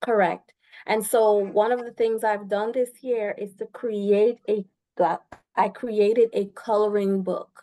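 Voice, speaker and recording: This woman speaks with a Guyanese accent. Her tone is dark and mellow, and her intonation stays flat and monotone. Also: fairly high pitch for a woman, fairly slow pace. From Guyana, East Coast. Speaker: naturopath and massage therapist. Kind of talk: interview.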